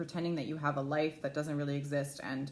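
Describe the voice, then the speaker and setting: A woman's very deep, low-pitched voice at a very fast pace. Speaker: lifestyle blogger. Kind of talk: livestream talk. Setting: at home, live video. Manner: loud.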